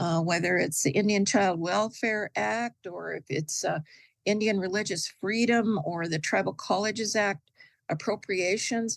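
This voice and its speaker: Against a quiet background, a woman speaks at a fairly slow pace with vocal fry and ordinary pitch variation. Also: medium pitch for a woman. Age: 70s. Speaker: advocate speaking at a voter forum. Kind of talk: forum talk. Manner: hesitant, many fillers.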